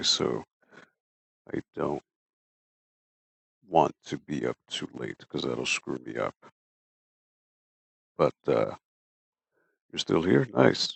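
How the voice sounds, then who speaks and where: At a very slow pace, a man speaks with long, frequent pauses. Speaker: streamer. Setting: livestream.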